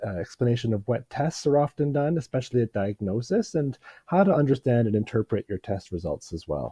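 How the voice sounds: A man's raspy, medium-pitched voice with a dark, mellow tone and lively intonation, at a fairly quick pace in a dry, close recording with no echo.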